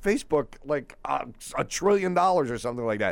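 Here is an ordinary speaking voice from a man, fairly high in pitch. He moves at a fairly quick pace with lively intonation. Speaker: radio panelist. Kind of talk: talk radio panel discussion.

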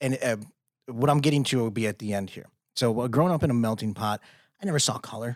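Speaking very fast with an American accent and ordinary pitch variation, yet with long, frequent pauses, the voice comes through a very clean recording with a silent background. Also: man, medium pitch for a man. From Chicago, US Midwest. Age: 30s. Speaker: podcast host. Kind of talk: casual podcast interview.

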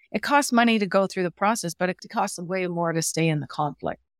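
A woman speaks in a normal speaking voice with ordinary pitch variation. The sound is dry and close with no echo, in a very clean recording with a silent background. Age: 50s. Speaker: workplace relationships speaker and coach. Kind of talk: interview.

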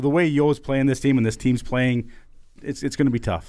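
A man with a normal speaking voice at medium pitch and a fairly quick pace, on a very clean recording with a silent background. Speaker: former hockey enforcer, podcast co-host. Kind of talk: casual sports chat.

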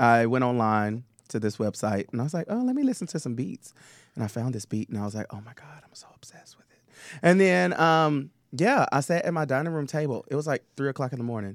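A man with a Southern US accent talks at a very fast pace in an animated tone, with lively intonation and big swings in loudness, in a very clean recording with a silent background. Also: medium pitch for a man. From Tennessee. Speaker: drag performer and singer. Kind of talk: casual chat.

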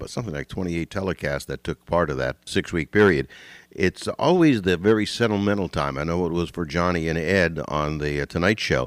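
On a very clean recording with a silent background, the speaker goes at a fairly quick pace with ordinary pitch variation. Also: man. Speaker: radio host. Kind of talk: talk radio interview. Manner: animated.

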